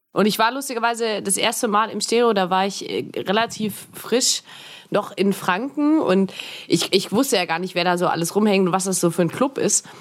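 A woman speaks at a moderate pace in a medium pitch with ordinary pitch variation. Noticeable background noise sits behind her. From Augsburg, Bavarian Swabia. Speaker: podcaster and filmmaker. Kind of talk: casual chat.

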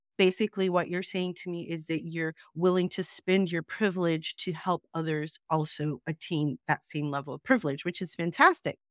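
A woman with a plain, everyday voice speaks in an American accent at a moderate pace and fairly low pitch, with ordinary pitch variation, hardly any pauses, and a dry, close sound with no echo. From US, born New York, raised moving around (incl. Utah). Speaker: diversity and inclusion consultant. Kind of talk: casual interview. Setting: home studio, remote call.

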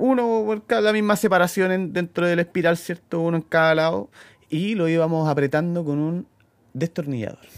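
With a Chilean accent, a man talks in a high pitch at a moderate pace, his pitch varying in an ordinary way. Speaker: mechanic, podcast co-host. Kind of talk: casual chat.

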